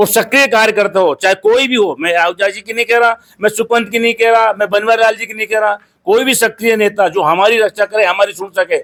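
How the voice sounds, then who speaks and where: A high-pitched man speaks at a moderate pace with hardly any pauses and fairly even intonation. The sound is dry and close, with no echo. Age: 60s. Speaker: local BJP supporter. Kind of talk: street interview.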